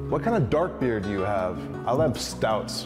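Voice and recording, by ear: Over loud music in the background, a man uses a squeaky put-on character voice at medium pitch and a moderate pace.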